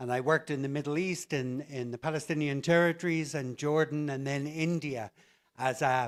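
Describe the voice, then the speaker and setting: On a very clean recording with a silent background, a man with an Irish accent talks at a moderate pace with a fairly high pitch and fairly even intonation. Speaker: conference plenary speaker, English teaching director. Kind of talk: conference keynote talk. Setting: stage with audience.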